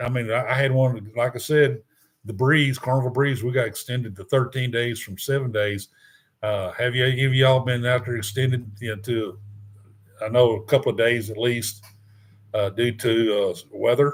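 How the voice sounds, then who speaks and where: A man with a Texan accent speaks at medium pitch in a somewhat breathy voice. His pace is moderate and his intonation fairly even. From Houston, Texas. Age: 60s. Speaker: cruise vlogger. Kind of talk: live stream chat. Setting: live stream. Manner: halting.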